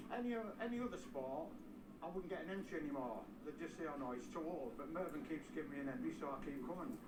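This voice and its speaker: A man talks very fast in a fairly high voice, his pitch swinging very widely while his loudness stays very even. Audible room echo and noticeable background noise surround him. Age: 60s. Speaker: amateur road racer. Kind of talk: interview. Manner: animated.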